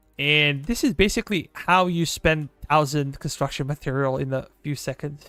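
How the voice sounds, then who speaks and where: In a very clean recording with a silent background and a dry, close sound with no echo, a man speaks at a moderate pace with a fairly high pitch, ordinary pitch variation and a bright, sharp tone. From Serbia, southeastern. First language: Serbian. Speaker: gaming streamer. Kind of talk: live gameplay stream chat.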